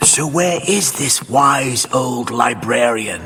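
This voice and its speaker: A man uses a cartoonish character voice at a medium pitch. He delivers it at a very slow pace. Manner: pompous, blustering.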